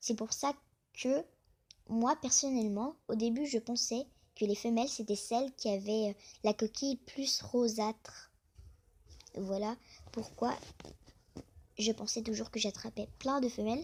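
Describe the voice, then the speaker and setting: A woman speaks at a fairly high pitch with fairly even intonation. Her pace is fairly slow, broken by long, frequent pauses. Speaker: youtuber talking about crayfish hobby. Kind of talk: casual vlog monologue.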